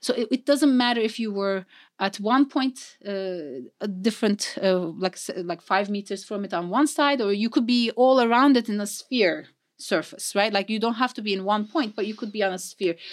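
A woman with a non-native accent speaks at a moderate pace in a fairly high pitch. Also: ordinary pitch variation. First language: not English. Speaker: mathematics professor. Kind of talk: interview.

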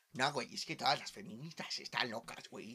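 This man's intonation is lively while his pace stays fairly slow. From Mexico, small town. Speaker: podcast host. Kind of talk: casual chat.

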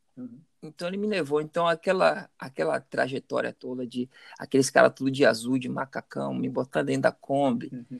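Here a man talks fairly quickly at a medium pitch with lively intonation. The sound is dry and close, with no echo. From Salvador, Bahia, Brazil. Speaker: businessman. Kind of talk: interview. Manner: halting, many repetitions.

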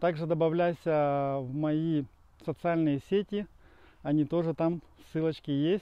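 A man speaks very slowly at a fairly high pitch with fairly even intonation, leaving long, frequent pauses. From Ukraine, Dnipro. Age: 40s. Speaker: life coach. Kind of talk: channel trailer monologue. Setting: outdoors on a run.

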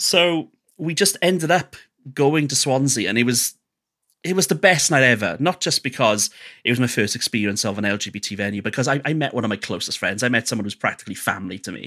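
A man with a Welsh accent speaks very fast at a medium pitch, his bright, sharp tone making very wide pitch swings on a very clean recording with a silent background. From Wales. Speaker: radio host and DJ. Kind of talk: casual interview chat.

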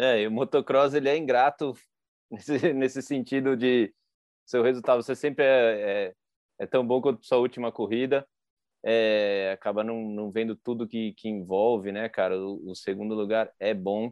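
A man with a plain, everyday voice and medium pitch speaks at a moderate pace with fairly even intonation. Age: 30s. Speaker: podcast host and freestyle motocross rider. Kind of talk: casual chat.

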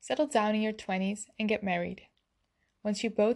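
A woman with a Dutch accent, medium-pitched, at a moderate pace against a quiet background. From Netherlands. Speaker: podcaster. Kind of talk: scripted monologue.

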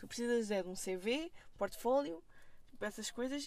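A high-pitched woman moves at a moderate pace, her intonation lively. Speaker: film student. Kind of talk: casual chat. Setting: in a car.

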